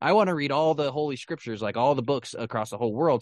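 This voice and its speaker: This man has an unremarkable speaking voice, medium in pitch with ordinary pitch variation, heard over a quiet background. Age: 20s. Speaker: podcast co-host. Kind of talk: casual chat.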